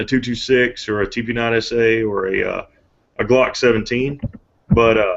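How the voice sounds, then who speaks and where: A man speaks in a normal speaking voice at a moderate pace, with a medium pitch and fairly even intonation. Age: 30s. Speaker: firearms company representative. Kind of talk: casual chat.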